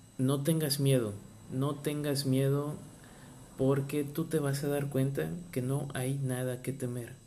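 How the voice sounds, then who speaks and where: Speaking at a very slow pace, a man uses monotone, flat intonation with a dark, mellow tone. His voice is somewhat breathy, and audible room echo surrounds it. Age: 30s. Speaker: marine biologist and podcaster. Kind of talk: personal testimony and motivational talk. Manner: hesitant, with fillers and repetitions.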